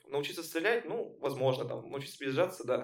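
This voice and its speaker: A man talks very fast at a fairly high pitch, with noticeable background noise in the clip. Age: 20s. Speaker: laser tag player and friend of host. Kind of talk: casual chat.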